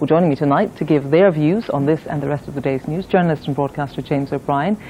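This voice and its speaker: Lively intonation from a woman with a very deep, low pitch, over noticeable background noise. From Scotland. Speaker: news presenter. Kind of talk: news presenting.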